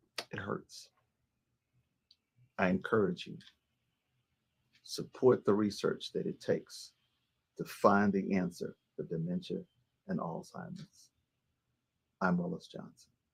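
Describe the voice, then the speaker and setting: A man with an American accent speaks at a fairly slow pace in a medium pitch, with vocal fry and long, frequent pauses. His pitch swings very widely, and his loudness shifts a lot. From Texas (Gladewater, East Texas). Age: 70s. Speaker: radio personality. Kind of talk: personal testimony and appeal.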